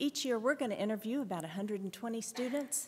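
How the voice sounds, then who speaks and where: A woman talks in a Southern US accent. Her pitch variation is ordinary. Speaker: director of admissions. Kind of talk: panel presentation. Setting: conference panel with audience.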